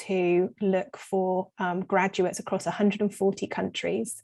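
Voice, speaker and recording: A woman speaks at a medium pitch with a dark, mellow tone and an English accent. Her delivery is monotone and flat at a moderate pace, over a quiet background. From south of England. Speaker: recruitment business leader. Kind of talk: interview.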